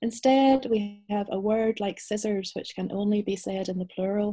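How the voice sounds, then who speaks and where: A woman speaks with a Northern Irish accent and a somewhat breathy, dark, mellow tone. The background is quiet. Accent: Northern Irish (Belfast). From Northern Ireland, Belfast. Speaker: novelist. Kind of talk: interview and reading aloud. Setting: video call. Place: home room. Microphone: video call.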